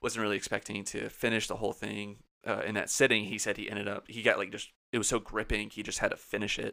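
Over a silent background in a very clean recording, the voice races at a very fast pace in a flat monotone, bright and sharp in tone with vocal fry. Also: man, fairly low pitch for a man. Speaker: podcast co-host. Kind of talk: casual chat.

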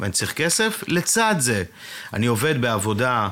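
A man with a normal speaking voice talks at a moderate pace, his pitch varying in an ordinary way. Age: 40s. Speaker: advertising executive. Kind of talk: casual chat.

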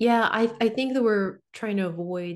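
A woman with a plain, everyday voice at a moderate pace, ordinary pitch variation, and a quiet background. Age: 40s. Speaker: psychic medium. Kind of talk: casual chat.

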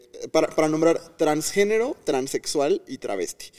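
A man's voice, dry and close with no echo. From Mexico, Tamaulipas. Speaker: educator and content creator. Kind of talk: casual chat.

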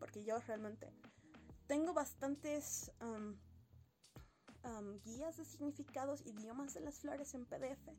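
Music plays behind a woman with a fairly high pitch and lively intonation. She speaks at a very slow pace with long, frequent pauses. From Bolivia, Sucre. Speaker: podcast host reviewing poetry books. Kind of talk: casual monologue, book review.

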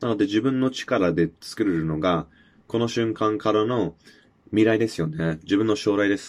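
The man speaks at a moderate pace. Behind him the background is quiet. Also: fairly low pitch for a man, ordinary pitch variation. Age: 20s. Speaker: podcast host. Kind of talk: solo monologue. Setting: self-recorded video. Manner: halting, many filler words.

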